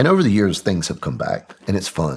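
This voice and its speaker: In a Southern US accent, a man with a very deep, low voice and vocal fry speaks at a moderate pace, his pitch swinging very widely. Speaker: military veteran. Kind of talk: interview testimony.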